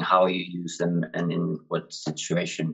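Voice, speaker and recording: A man's very deep, low voice with a Finnish accent. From Finland. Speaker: PhD student and drug policy activist. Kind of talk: casual chat. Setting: friend's house.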